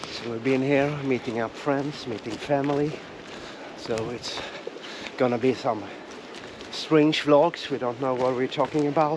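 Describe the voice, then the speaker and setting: With a Swedish accent, the speaker moves at a fairly slow pace with fairly even intonation, in a dry sound with no echo but noticeable background noise. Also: man. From Sweden, Engelholm area; Sweden. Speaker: travel vlogger. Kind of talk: casual vlog chat. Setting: outdoors. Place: forest. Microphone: phone near.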